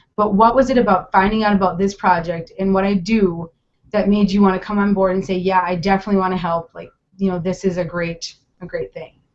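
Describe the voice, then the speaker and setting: With a Minnesotan accent, a woman speaks very fast at a medium pitch. Her intonation stays flat and monotone. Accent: Minnesota. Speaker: interviewer, charity project creator. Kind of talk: interview over video call. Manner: hesitant, many fillers.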